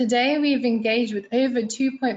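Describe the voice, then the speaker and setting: Somewhat breathy and spoken with a London accent, the voice keeps a monotone, flat intonation. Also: woman. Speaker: international relations staff presenter. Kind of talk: webinar presentation.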